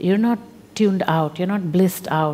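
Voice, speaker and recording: Pitch varies in an ordinary way as a woman talks. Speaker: spiritual teacher. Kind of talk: spiritual talk to an audience. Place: hall.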